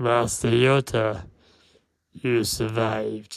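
A man in a raspy put-on character voice, medium in pitch, at a very slow pace. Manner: sinister, menacing.

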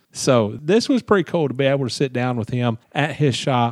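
A man with a Southern US accent talks at a moderate pace, fairly high in pitch, with lively intonation. The recording is very clean with a silent background and a dry, close sound with no echo. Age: 50s. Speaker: podcast host, motorsports journalist. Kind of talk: casual interview chat.

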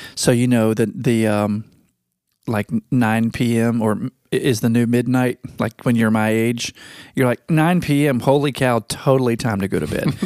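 A man with an American accent talks at a moderate pace in an ordinary speaking voice, medium in pitch with ordinary pitch variation. The recording is very clean, with a silent background and a dry, close sound with no echo. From Virginia. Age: 40s. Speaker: podcast host. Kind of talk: casual chat.

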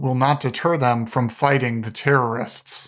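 An ordinary speaking voice at a fairly slow pace with fairly even intonation, on a very clean recording with a silent background. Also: man. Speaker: news podcast host. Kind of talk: formal newsreading, scripted headline summaries. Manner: formal, even, measured.

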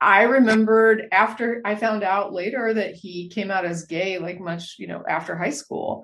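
A woman at medium pitch talks at a moderate pace with hardly any pauses and ordinary pitch variation, in a plain, everyday voice. Her loudness swings widely. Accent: American. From Texas. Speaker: podcast host. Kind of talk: casual interview.

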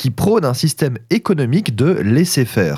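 A man speaks at a fairly slow pace, his pitch swinging very widely. The recording is very clean, with a silent background. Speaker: food history podcaster. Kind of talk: scripted narration.

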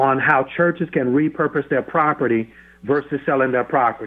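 A man speaks at a moderate pace with an American accent, in a plain, everyday voice with ordinary pitch variation. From US South, Florida. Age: 50s. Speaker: pastor. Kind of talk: radio interview. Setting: phone call.

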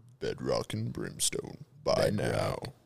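Over music in the background, a man puts on a raspy character voice. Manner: dramatic, heavy.

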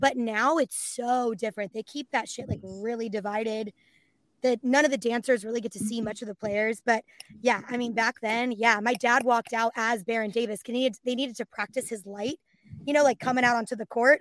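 A woman with a Californian accent, fairly high pitch and fairly even intonation, talking at a fairly quick pace in a dry, close sound with no echo. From San Francisco Bay Area. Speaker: voice actress and dancer. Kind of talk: casual chat.

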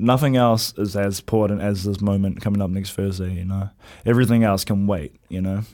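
A man's dark, mellow voice in a New Zealand accent, fairly low in pitch, fairly quick and fairly even in intonation, on a very clean recording with a silent background. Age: young. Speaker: professional boxer. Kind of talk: interview. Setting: studio.

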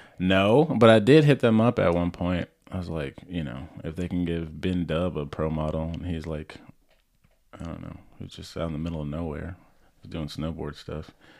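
A man speaks with a very deep, low pitch. His loudness swings widely. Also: ordinary pitch variation, moderate pace. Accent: American. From US South, Orlando, Florida. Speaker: downhill skateboarder and video editor. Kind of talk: casual chat.

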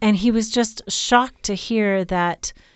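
Speaking at a medium pitch, a woman uses an ordinary speaking voice. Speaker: sex therapist and podcast host. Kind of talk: casual chat.

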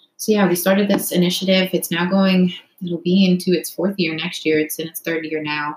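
A woman with a plain, everyday voice speaks at a fairly low pitch. Her intonation is fairly even, though her loudness swings a lot. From Canada, Toronto area. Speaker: former college swimmer and brain injury researcher. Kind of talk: casual interview.

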